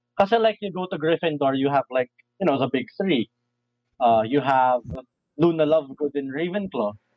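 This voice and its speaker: Lively intonation from a man with a Filipino accent, fairly high in pitch, with long, frequent pauses. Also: moderate pace. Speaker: guest. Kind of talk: casual chat, nerdy banter.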